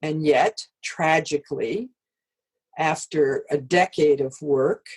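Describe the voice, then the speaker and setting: A woman talks with an American accent. Her pitch is very deep and low. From US Midwest. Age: 70s. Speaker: democracy expert. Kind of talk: interview.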